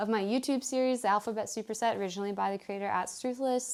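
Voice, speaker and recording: The speaker is a woman with a fairly high pitch. Her pitch variation is ordinary. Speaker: art vlogger. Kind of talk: casual vlog talk to camera. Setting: outdoors. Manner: animated.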